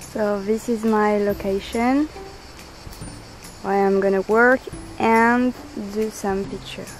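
A woman speaks in a French accent with a fairly high pitch and fairly even intonation, at a very slow pace with long, frequent pauses. Faint music plays in the background, and the sound is dry with no echo. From France. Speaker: vegan fitness vlogger. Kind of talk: casual talk to camera. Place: forest. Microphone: phone near.

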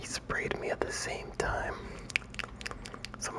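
The pace is very slow. Loud background noise is heard. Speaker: ASMR gaming creator. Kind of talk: ASMR gaming commentary. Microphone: studio mic.

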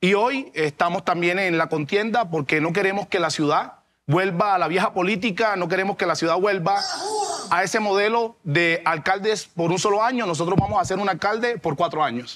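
Speaking at a moderate pace, a man with a high-pitched voice keeps his loudness very even and his pitch variation ordinary. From Cartagena, Colombian Caribbean coast. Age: 30s. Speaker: mayoral candidate; candidate. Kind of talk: political debate. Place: studio. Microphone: lapel.

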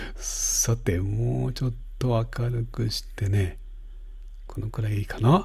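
A man's relaxed, somewhat breathy voice, dark and mellow, at medium pitch and a fairly slow pace, over a quiet background. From Japan. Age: 70s. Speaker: painting instructor. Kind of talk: tutorial. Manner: relaxed, chatty with frequent fillers.

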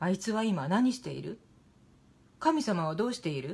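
At a moderate pace, a woman talks in a somewhat breathy voice with a calm, soothing tone. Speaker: narrator. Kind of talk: literary reading. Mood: calm, gentle, soothing. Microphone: phone near.

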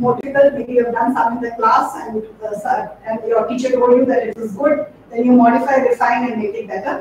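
A woman speaks at a fairly quick pace in a high pitch with ordinary pitch variation. There is strong room echo and light background noise. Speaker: presenter. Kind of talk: lecture. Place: classroom. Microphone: camera far.

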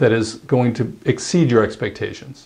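With an American accent, a man speaks in a dark, mellow, somewhat breathy voice. His intonation is lively. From US South, North Carolina. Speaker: company founder and CEO. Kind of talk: promotional address. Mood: sincere, confident.

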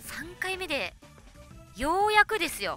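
A woman's excited, upbeat tone over music in the background. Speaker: voice actor. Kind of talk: gameplay commentary.

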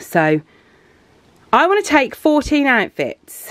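The speaker has a Birmingham accent, heard over a quiet background. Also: woman. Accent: Birmingham (Brummie) English. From England. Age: 40s. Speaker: family vlogger. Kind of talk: casual vlog chat to camera. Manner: animated. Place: home room. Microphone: phone near.

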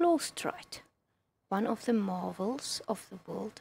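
At a very slow pace, a woman with a non-native accent speaks with very wide pitch swings. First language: not English. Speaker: gaming video creator. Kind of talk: gameplay commentary. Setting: home recording with loud keyboard. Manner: casual, chatty.

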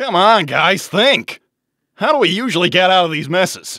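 A man puts on a cartoonish character voice, high-pitched with a bright, sharp tone and big pitch swings. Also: moderate pace.

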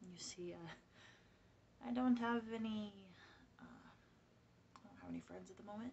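A somewhat breathy woman's voice with lively intonation amid noticeable background noise. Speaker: actor performing monologues. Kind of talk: acted monologue. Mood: sassy, expressive. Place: home room. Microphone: webcam.

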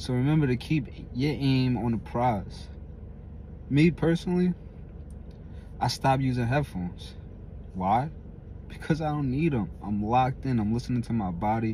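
A man speaks with lively intonation and long, frequent pauses, his tone dark and mellow and somewhat breathy. The sound is dry with no echo, over light background noise. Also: medium pitch for a man, moderate pace. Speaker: gym motivational vlogger. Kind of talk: gym pep talk, motivational monologue to camera. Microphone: phone near.

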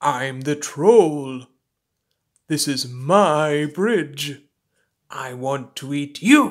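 A woman's cartoonish character voice, very deep and low, at a very slow pace with long, frequent pauses. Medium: puppet.

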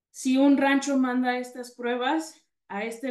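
Fairly slow speech in a Mexican accent with audible room echo. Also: woman, quiet background. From Mexico. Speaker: veterinarian, dairy specialist; presenter. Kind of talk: webinar presentation. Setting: video webinar. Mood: calm, informative. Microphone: webcam.

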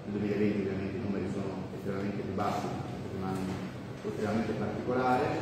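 There is strong room echo and noticeable background noise around this man's voice. He keeps his intonation fairly even. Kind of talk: press statement. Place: meeting room. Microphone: camera far.

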